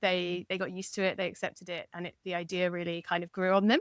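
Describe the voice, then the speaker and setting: On a very clean recording with a silent background, a woman with an English accent speaks at a fairly quick pace. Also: dry, close sound with no echo. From England. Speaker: novelist. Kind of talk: interview conversation.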